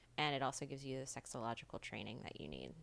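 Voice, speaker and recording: A woman in an American accent with monotone, flat intonation. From US South (rural). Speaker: sex coach and podcast host. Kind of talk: casual interview. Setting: in-person studio. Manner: halting, many fillers.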